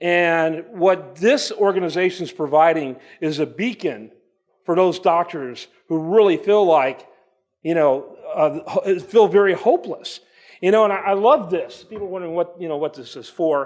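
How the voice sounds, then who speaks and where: Loud and animated, a man talks at a moderate pace in a high pitch with ordinary pitch variation. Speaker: conference speaker. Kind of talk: conference talk. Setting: stage with audience.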